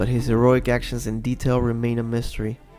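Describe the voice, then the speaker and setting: Music runs in the background as the man talks at a fairly quick pace. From Peru. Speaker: fan theory commentator. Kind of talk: video essay narration.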